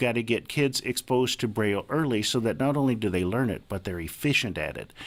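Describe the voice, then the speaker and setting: A man with a normal speaking voice talks with ordinary pitch variation. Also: hardly any pauses. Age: 60s. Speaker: advocate for the blind, blind Braille user. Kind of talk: radio interview.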